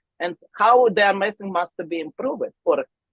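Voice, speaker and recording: A woman with a non-native accent at a fairly slow pace, in a dry, close sound with no echo. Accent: foreign. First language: not English. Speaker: arm wrestler. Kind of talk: podcast interview. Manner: halting.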